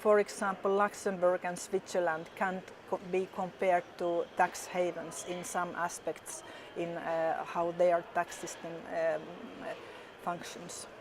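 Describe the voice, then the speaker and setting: A woman with a Finnish accent speaks fairly slowly at a fairly low pitch. Her intonation is monotone and flat, over noticeable background noise. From Finland. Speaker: politician. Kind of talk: interview. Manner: halting, many fillers.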